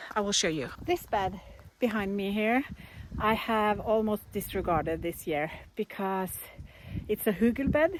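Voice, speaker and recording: A woman with a Norwegian accent, fairly slow and lively in intonation, with long, frequent pauses, on a very clean recording with a silent background. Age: 50s. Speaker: gardening vlogger. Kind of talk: casual vlog narration. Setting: outdoors in garden.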